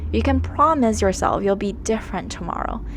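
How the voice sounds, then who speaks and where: The speaker is a woman. She talks with a Chinese accent. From China, moved to Canada around age ten. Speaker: art YouTuber. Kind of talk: scripted narration.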